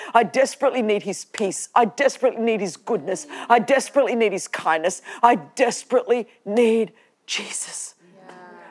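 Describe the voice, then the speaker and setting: A fairly high-pitched woman in an Australian accent, passionate in tone, at a fairly quick pace with ordinary pitch variation. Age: 50s. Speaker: preacher and podcast host. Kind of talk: sermon to a live church audience. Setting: church with audience. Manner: passionate, fervent, exhortative; humorous, chatty, with laughter.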